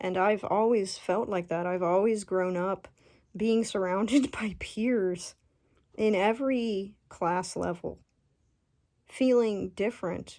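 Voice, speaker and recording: A woman speaks at a very slow pace in a dark, mellow tone, her intonation fairly even. The recording is very clean with a silent background. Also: medium pitch for a woman. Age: 20s. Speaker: Marine veteran and nurse. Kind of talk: spiritual talk to camera. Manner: casual, unscripted, hesitant.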